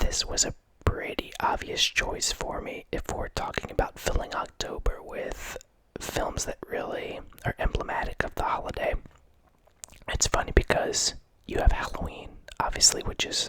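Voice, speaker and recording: Noticeable background noise fills the clip. Over it, a man whispers. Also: moderate pace. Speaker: ASMR youtuber. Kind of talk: ASMR whisper talk about horror film. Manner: whispering.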